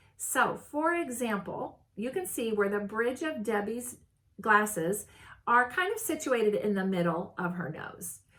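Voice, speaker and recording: At a very slow pace, a woman speaks at a fairly high pitch. Her pitch swings very widely. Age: 60s. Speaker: style consultant, video host. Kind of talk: casual tutorial. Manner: casual, with frequent fillers and restarts.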